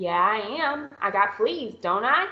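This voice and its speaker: Putting on a hoarse character voice, a woman speaks at a fairly slow pace, her fairly high pitch making very wide pitch swings. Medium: read story.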